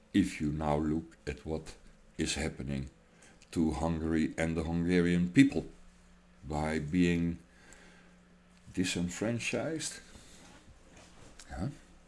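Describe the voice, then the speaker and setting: A man with a non-native accent speaks at a very slow pace with long, frequent pauses. His very deep, low voice shows big swings in loudness. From Europe. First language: not English. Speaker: political commentator. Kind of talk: political rant. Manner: animated.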